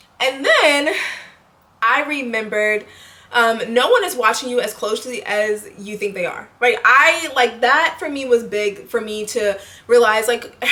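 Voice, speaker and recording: A high-voiced woman at a fairly slow pace, with ordinary pitch variation. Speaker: lifestyle vlogger. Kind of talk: casual monologue to camera. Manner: halting, self-correcting.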